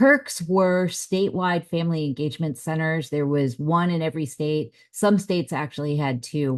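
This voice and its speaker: Very deep and low, a woman's voice carries a Californian accent with ordinary pitch variation. She keeps a moderate pace with hardly any pauses. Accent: non-Southern, Californian. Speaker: family engagement trainer. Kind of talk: conference presentation.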